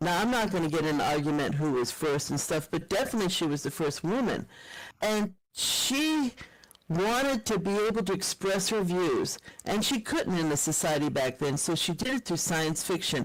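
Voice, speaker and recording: A woman with a normal speaking voice and lively intonation, at a moderate pace and very even loudness, on a very clean recording with a silent background. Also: fairly low pitch for a woman. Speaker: professor and keynote speaker. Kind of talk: conference keynote talk.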